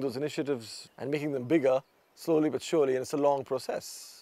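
A man with an Indian accent speaks at a very fast pace in a dark, mellow tone, the sound dry with no echo. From New Delhi, India. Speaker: fly fishing guide and conservationist. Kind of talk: documentary interview answer. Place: home room.

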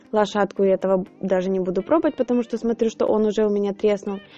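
Faint music plays in the background. Over it, a woman talks at a fairly quick pace. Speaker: home baker reviewing a purchase. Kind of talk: tutorial and product review. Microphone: phone near.

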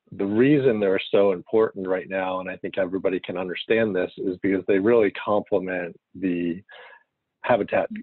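At a moderate pace and fairly low pitch, a man speaks in a plain, everyday voice with fairly even intonation, recorded dry with no echo against a quiet background. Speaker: forestry planner; presenter. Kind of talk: technical presentation. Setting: conference call. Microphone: video call.

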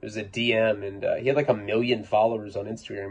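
A man with a fairly low pitch speaks at a fairly quick pace in a somewhat breathy voice over light background noise. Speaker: podcaster or vlogger. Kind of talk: casual storytelling monologue. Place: home room.

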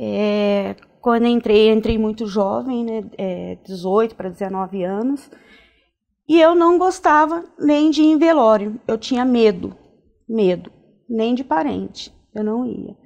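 A woman's fairly high voice, very slow, with lively intonation over a quiet background. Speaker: nurse; interview guest. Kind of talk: interview. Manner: halting, many fillers. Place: studio. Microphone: lapel.

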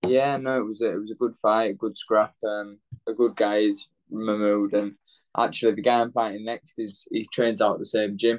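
A man with a Yorkshire accent talks at a moderate pace in a monotone, flat intonation. The background is quiet. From northern England, Leeds; northern England. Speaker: professional boxer; interviewee. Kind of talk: interview. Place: home room. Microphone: video call.

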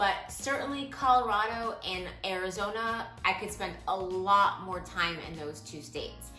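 A woman at a fairly slow pace, with audible room echo and faint music in the background. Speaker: van life vlogger. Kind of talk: casual vlog Q&A answer. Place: home room. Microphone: camera far.

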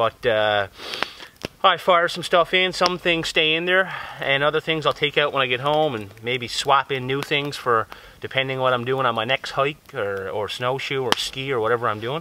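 In a Newfoundland accent, a man speaks at a moderate pace, the sound dry with no echo and light background noise behind him. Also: medium pitch for a man, ordinary pitch variation. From Newfoundland, Canada. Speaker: bushcraft YouTuber. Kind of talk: casual vlog talk to camera. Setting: outdoors in the woods. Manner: relaxed, conversational. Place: forest.

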